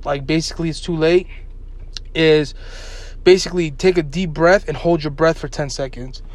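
Against noticeable background noise, a man speaks with a high pitch and fairly even intonation. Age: 20s. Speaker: podcast co-host. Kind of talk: casual chat.

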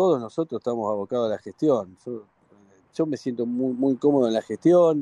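In a Rioplatense accent, a man speaks at a medium pitch and moderate pace with a dark, mellow tone and ordinary pitch variation, the sound dry and close with no echo. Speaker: football club director. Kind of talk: radio interview. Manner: halting, repeats words.

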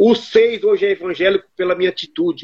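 A man with lively intonation. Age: 50s. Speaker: electrician. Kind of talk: testimony.

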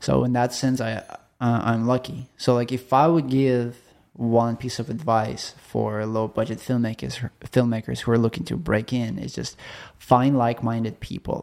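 In a Russian accent, a man speaks at a medium pitch and a moderate pace with fairly even intonation, in a very clean recording with a silent background. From Chelyabinsk, Russia. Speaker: film producer and writer. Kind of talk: casual interview chat. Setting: studio.

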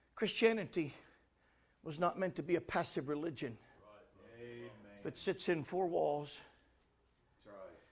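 A man with a fairly high pitch and vocal fry speaks in an animated tone with lively intonation at a moderate pace, with long, frequent pauses and big swings in loudness. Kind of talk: sermon. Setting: church. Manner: animated, forceful pulpit delivery with exclamations and call-and-response; emphatic, urgent, repeating lines for effect.

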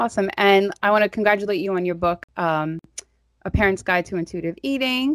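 In a New York accent, a woman talks at a medium pitch. The sound is dry and close with no echo. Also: ordinary pitch variation, fairly quick pace. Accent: New York (Staten Island). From Staten Island, New York. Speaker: podcast host. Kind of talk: casual interview.

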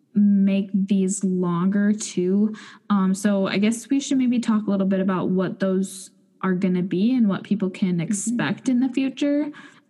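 A woman at a medium pitch talks at a fairly slow pace, somewhat breathy, with a dark, mellow tone. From North Dakota. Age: 20s. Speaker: podcast co-host. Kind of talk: casual chat.

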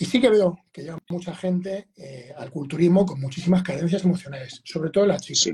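With big swings in loudness, a man with a high pitch talks at a fairly quick pace and hardly any pauses. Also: ordinary pitch variation. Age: 40s. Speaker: bodybuilder and fitness coach. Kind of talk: casual interview.

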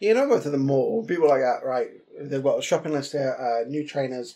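A man's dark, mellow voice, fairly high-pitched, with a London accent. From London, East End. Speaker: podcast co-host. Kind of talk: casual chat.

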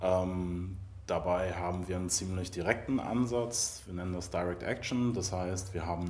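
Very deep, low pitch from a man, moderate in pace, pitch moving in an ordinary way, room echo audible. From Mecklenburg-Vorpommern, Germany. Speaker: animal-protection volunteer. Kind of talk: casual interview chat. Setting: music venue backstage before a show.

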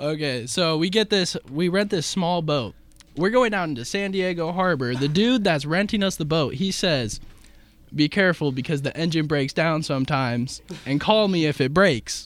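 A plain, everyday voice from a man with an American accent, fairly high in pitch, moderate in pace and lively in intonation. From Illinois, Macomb. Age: 20s. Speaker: student shadowing radio show. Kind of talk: casual sports talk radio.

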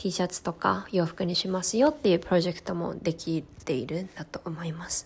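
At a moderate pace, a woman with a fairly low pitch and vocal fry speaks with ordinary pitch variation. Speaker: podcast host. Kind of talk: personal monologue. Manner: stumbling over words.

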